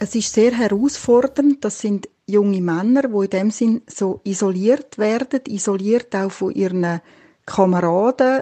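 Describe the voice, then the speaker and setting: An ordinary speaking voice at a fairly slow pace. Its pitch varies in an ordinary way. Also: woman. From Switzerland. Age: 50s. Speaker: midwife. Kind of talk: interview.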